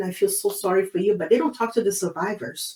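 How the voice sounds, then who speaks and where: Speaking with a Brazilian Portuguese accent, a woman has a dark, mellow tone at a medium pitch. Her pace is fairly quick. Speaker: abortion survivor and activist. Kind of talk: interview testimony.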